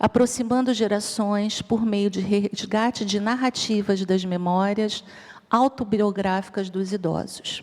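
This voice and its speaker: Using a Rio de Janeiro accent, a woman speaks very slowly at a medium pitch with fairly even intonation. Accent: Rio de Janeiro (carioca). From Rio de Janeiro, Brazil. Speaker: psychologist and researcher on ageing. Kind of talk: conference talk.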